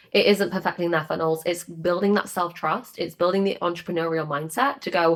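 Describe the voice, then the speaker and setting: The speaker is a woman with a fairly low pitch. She goes at a very fast pace. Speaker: business coach. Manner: fast talker; passionate, energetic.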